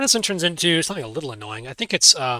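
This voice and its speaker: A man's fairly high, bright, sharp voice at a very fast pace, with a dry, close sound with no echo and a very clean recording with a silent background. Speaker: math teacher streaming exam walkthrough. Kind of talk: live-streamed tutorial. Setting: live stream. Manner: casual thinking aloud with fillers.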